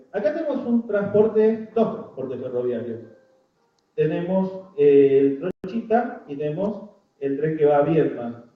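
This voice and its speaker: Audible room echo surrounds a man whose high-pitched voice makes very wide pitch swings. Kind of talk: public talk.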